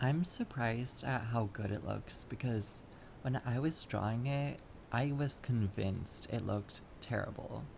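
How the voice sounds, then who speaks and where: This voice is soft-spoken. It moves at a fairly slow pace. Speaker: artist vlogger. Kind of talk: casual chat. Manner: halting. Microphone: audio issues, quiet.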